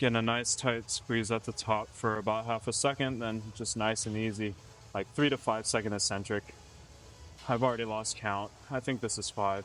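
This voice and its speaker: Over music in the background, a man speaks at a medium pitch and moderate pace with fairly even intonation. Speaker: fitness vlogger. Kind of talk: casual chat during a gym workout. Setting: gym. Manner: low energy.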